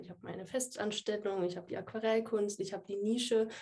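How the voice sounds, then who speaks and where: With a dark, mellow tone, a woman's voice sits at a medium pitch. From Würzburg, Franconia, Germany. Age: 20s. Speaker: software developer and watercolour artist. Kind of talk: casual interview.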